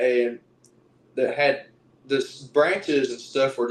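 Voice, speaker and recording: With an Appalachian accent, a man talks at a moderate pace. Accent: Southern US (Appalachian). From East Tennessee. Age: 20s. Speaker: Bigfoot researcher and lineman. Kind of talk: casual interview storytelling.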